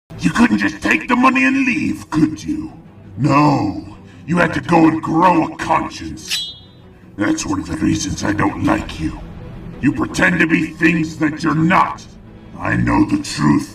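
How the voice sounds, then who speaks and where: Clear music sits behind a man doing a cartoonish character voice at a fairly slow pace. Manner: contemptuous, cold.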